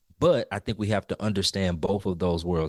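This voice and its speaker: In an ordinary speaking voice, a man talks at a fairly quick pace and fairly low pitch with ordinary pitch variation, the sound dry and close with no echo against a quiet background. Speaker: music educator podcast co-host. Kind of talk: casual podcast discussion.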